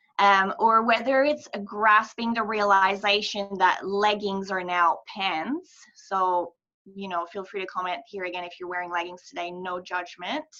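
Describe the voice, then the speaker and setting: Speaking at a fairly slow pace with a French Canadian accent, a woman has a bright, sharp tone, medium pitch, ordinary pitch variation and big swings in loudness. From Quebec, Montreal. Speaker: mental health charity ambassador. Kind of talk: presentation.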